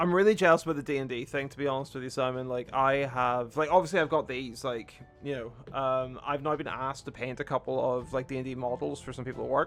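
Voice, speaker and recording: Over music in the background, a man with a Northern Irish accent talks very fast at a medium pitch with fairly even intonation. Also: hardly any pauses. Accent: Northern Irish, noticeable. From Northern Ireland. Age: 30s. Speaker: miniature painting streamer. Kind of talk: casual chat. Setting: livestream. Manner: relaxed.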